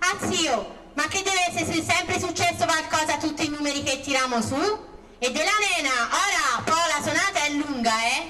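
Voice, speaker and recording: A put-on character voice, high in pitch, at a moderate pace, with clear background noise. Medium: stage play.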